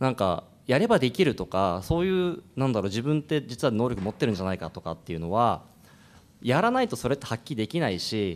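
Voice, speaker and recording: Speaking at a very fast pace, a man lets his pitch swing very widely. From Iwaki, Fukushima, Japan; Fukushima, Japan. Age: 30s. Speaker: restaurant business owner; panelist. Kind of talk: panel discussion. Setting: stage with audience. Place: hall. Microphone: podium.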